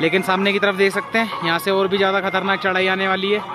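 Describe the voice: A man's high-pitched, monotone, flat voice at a fast pace, with clear music in the background.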